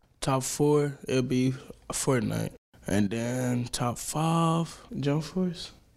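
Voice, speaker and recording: A man speaks very slowly at a medium pitch with ordinary pitch variation. Long, frequent pauses and noticeable background noise mark the clip. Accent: American. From Dallas, Texas (Oak Cliff). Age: 18. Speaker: rapper and dancer. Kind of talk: casual interview.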